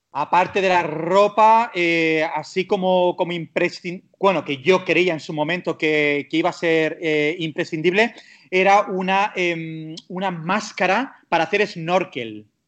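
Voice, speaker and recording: Speaking at a fairly slow pace with hardly any pauses, a man uses a high pitch and ordinary pitch variation. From Spain, Catalonia (Castelldefels near Barcelona). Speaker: travel blogger. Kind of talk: casual interview. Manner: halting, many fillers.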